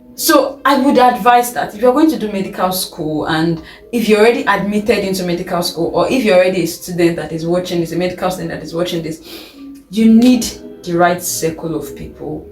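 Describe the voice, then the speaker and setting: Over music in the background, a woman speaks at a fairly quick pace and medium pitch with lively intonation. Her loudness swings widely, and audible room echo fills the sound. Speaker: medical student vlogger. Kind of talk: advice vlog.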